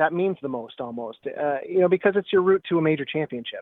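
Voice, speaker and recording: A man speaks in a plain, everyday voice at a fairly quick pace. His pitch varies an ordinary amount. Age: 50s. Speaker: golf professional and teacher. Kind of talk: casual interview. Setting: phone call.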